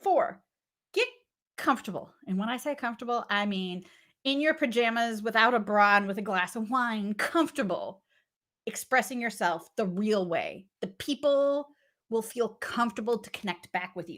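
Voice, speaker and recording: Animated and lively in intonation, a woman with a fairly high pitch speaks at a moderate pace, with big swings in loudness. The recording is very clean, the background silent. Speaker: business coach. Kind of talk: motivational talk.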